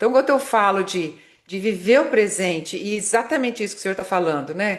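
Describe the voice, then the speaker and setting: Lively intonation marks this woman's fairly quick delivery, an unremarkable speaking voice at medium pitch. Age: 60s. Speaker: marketing consultant and motivational speaker. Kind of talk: podcast interview.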